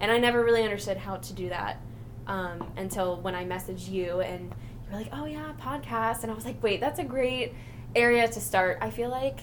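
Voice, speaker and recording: Over noticeable background noise and audible room echo, a woman talks at a fairly quick pace with big swings in loudness. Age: 20s. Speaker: podcast co-host. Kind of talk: casual chat. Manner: giggly, lots of laughter.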